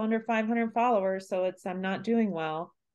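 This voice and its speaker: A woman with a normal speaking voice uses lively intonation at a medium pitch against a quiet background. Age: 40s. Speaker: yoga teacher and podcast host. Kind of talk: casual interview chat.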